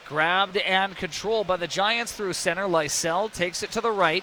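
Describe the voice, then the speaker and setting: High-pitched, raised, projected man's voice at a fairly slow pace, with noticeable background noise. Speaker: play-by-play announcer. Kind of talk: live commentary. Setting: arena broadcast. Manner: animated, excitable.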